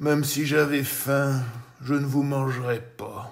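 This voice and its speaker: Using a put-on character voice, a man speaks at a fairly slow pace with a fairly high pitch. His intonation is flat and monotone, and there is audible echo. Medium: read story. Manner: calm, gentle.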